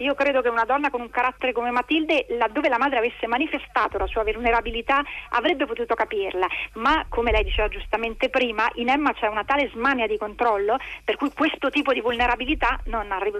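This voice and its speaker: Talking at a very fast pace, the woman keeps her pitch high. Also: ordinary pitch variation. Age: 50s. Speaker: novelist. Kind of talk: interview.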